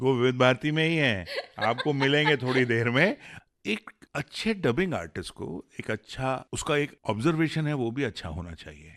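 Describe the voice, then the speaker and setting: With lively intonation and a medium pitch, a man talks in an unremarkable speaking voice. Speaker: radio host, dubbing director. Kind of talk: radio interview.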